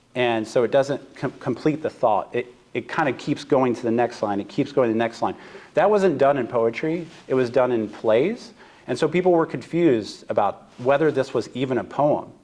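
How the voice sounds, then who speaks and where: Moderately paced, a man talks with a medium pitch and ordinary pitch variation. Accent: American. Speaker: seminary professor. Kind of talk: lecture. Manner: hesitant, frequent fillers.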